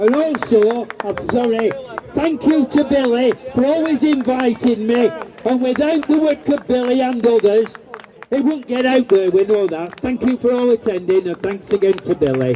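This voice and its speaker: At a moderate pace, a man talks in an extremely high pitch with ordinary pitch variation, over noticeable background noise. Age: 70s. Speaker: campaigner. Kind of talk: public speech. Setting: outdoor demonstration.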